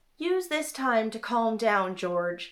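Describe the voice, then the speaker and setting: A woman's put-on character voice, fairly high in pitch, with very wide pitch swings. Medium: read story. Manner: cool, condescending.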